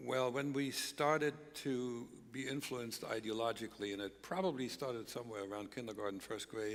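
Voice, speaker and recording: A man with a German accent talks at a fairly quick pace, his pitch medium and its variation ordinary. Room echo is audible. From East Germany. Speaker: former spy, speaker. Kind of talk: stage interview. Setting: church stage with audience.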